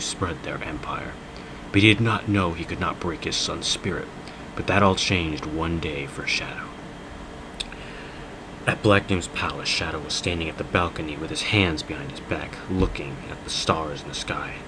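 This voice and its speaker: The man's voice sits very deep and low. His intonation is fairly even, with noticeable background noise behind him. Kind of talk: dramatic reading of fan fiction. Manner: mock-dramatic, comedic.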